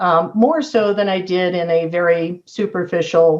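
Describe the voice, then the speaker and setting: A woman's normal speaking voice, fairly low in pitch, with ordinary pitch variation and a moderate pace. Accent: General American. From US West Coast, San Diego. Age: 60s. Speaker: real estate agent. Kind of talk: interview.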